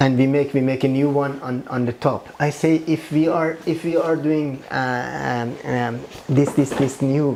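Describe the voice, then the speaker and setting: The speaker, with a Persian accent, goes at a fairly slow pace with hardly any pauses amid noticeable background noise. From Iran. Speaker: architect. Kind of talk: interview. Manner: halting, many repetitions.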